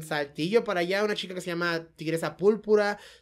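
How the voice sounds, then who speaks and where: With a plain, everyday voice, a woman talks at a medium pitch that shifts in an ordinary way. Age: 30s. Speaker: professional wrestler. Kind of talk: casual chat.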